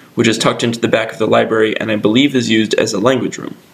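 Noticeable background noise sits behind a man talking at a very fast pace. His pitch is medium and his intonation fairly even. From Connecticut, US. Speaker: student video maker. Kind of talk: scripted narration.

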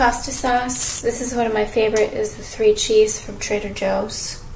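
Clear background noise sits behind a woman speaking in a fairly high pitch. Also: fairly even intonation, moderate pace.

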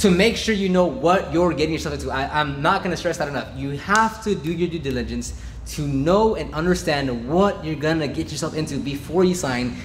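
Against light background noise, a man speaks at a fairly quick pace with hardly any pauses. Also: ordinary pitch variation. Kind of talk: casual vlog chat. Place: garage.

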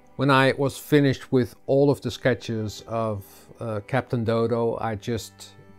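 Faint music plays in the background as a man speaks at a very slow pace with fairly even intonation. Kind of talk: tutorial. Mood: friendly, relaxed. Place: home room. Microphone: lapel.

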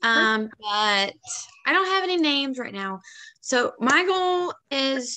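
A woman projects a raised voice at a high pitch with a bright, sharp tone. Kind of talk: casual team call update. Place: home room. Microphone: video call.

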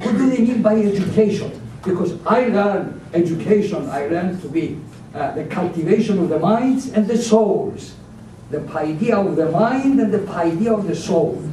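A man with a high pitch speaks at a moderate pace with ordinary pitch variation over noticeable background noise. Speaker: audience member. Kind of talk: Q&A question.

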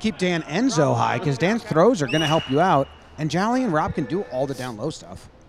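Over noticeable background noise, a man talks at a fairly quick clip in an animated tone, his fairly high pitch swinging very widely. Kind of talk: sports commentary. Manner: excitable, rapid-fire play-by-play with shouted bursts; animated and cheering.

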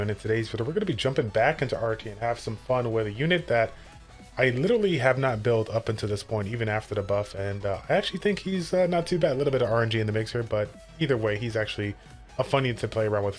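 Faint music plays behind a man who talks at a very fast pace with ordinary pitch variation. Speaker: gaming content creator. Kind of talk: casual gaming commentary.

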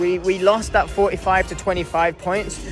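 A man's high-pitched, monotone voice with flat intonation, dry sound with no echo and clear music in the background. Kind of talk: casual vlog chat. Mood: happy, relieved after competing. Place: hall. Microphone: phone near.

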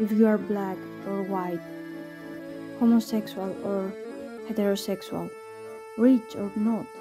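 With music in the background, a woman speaks fairly slowly at medium pitch in a flat, monotone way, leaving long, frequent pauses. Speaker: poet. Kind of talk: poetry reading.

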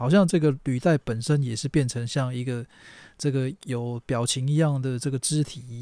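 In a Taiwanese accent, a man speaks at medium pitch and a moderate pace with a dark, mellow tone and fairly even intonation, the sound dry and close with no echo on a very clean recording with a silent background. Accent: Taiwanese Mandarin. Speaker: toy reviewer. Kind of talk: unboxing review. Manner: casual, lots of filler particles.

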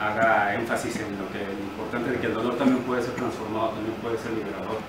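A man is speaking with noticeable background noise. Audible room echo surrounds his voice. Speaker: actor in a talkback. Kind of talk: reflective discussion answer. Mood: thoughtful, earnest. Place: stage.

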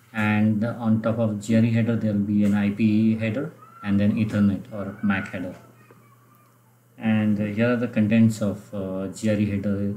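Over light background noise, a man with a fairly low pitch talks at a moderate pace in a monotone, flat intonation. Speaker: presenter. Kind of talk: lecture. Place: home room. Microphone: webcam.

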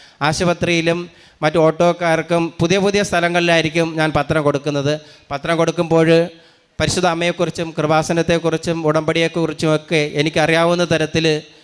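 Over noticeable background noise, a man speaks at high pitch in a monotone, flat intonation with very even loudness. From Kerala, Thiruvananthapuram district. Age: 50s. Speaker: retired school clerk and parish catechist. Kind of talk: religious testimony.

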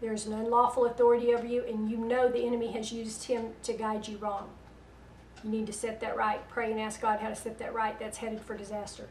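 Speaking at a very fast pace in a Southern US accent, a woman keeps a fairly high pitch and a monotone, flat intonation, with light background noise and audible room echo. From US South. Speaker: internet radio host and prophetic minister; speaker. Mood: earnest, admonishing. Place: home room.

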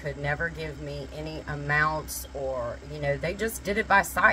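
At a fairly slow pace, a woman speaks against light background noise. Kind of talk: casual cooking tutorial with storytelling. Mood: warm, nostalgic. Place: kitchen. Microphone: phone near.

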